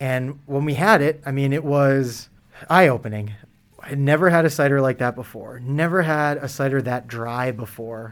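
The speaker has an ordinary speaking voice, talking at a moderate pace with ordinary pitch variation. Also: man, fairly high pitch for a man. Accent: American. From Massachusetts. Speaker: cider maker. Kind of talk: interview.

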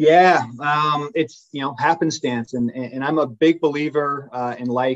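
A man speaks at a moderate pace with hardly any pauses, in an unremarkable speaking voice. His pitch is fairly high and his intonation fairly even. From England-born, raised in US. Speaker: sports business executive. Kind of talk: interview.

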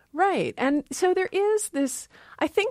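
With a normal speaking voice and an American accent, a woman talks at a fairly slow pace with lively intonation, on a very clean recording with a silent background and a dry, close sound with no echo. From Maryland. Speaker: linguistics professor. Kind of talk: casual interview.

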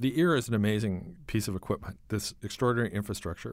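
Recorded very cleanly over a silent background, a man with a normal speaking voice talks fairly quickly at a fairly low pitch with ordinary pitch variation. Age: 60s. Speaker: author and magazine writer. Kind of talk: interview.

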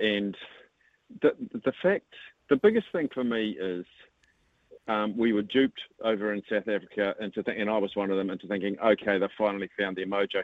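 A man with a New Zealand accent speaks at a fairly quick pace, his fairly low pitch showing ordinary variation. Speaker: rugby radio host. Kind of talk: radio interview. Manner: animated.

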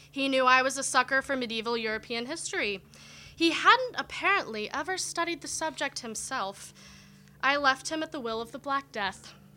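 Raising and projecting her high-pitched voice, a woman speaks at a moderate pace in a bright, sharp tone with lively intonation. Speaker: poet. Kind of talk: poetry reading. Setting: stage with audience.

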